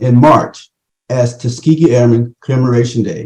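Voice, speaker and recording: The man's voice is somewhat breathy with a dark, mellow tone. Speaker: committee chairman. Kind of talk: conference remarks.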